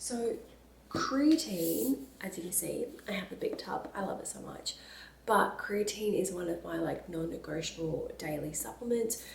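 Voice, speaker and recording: A woman at a moderate pace, amid noticeable background noise and audible room echo. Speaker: lifestyle and fitness vlogger. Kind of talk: casual vlog talk to camera. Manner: soft-spoken.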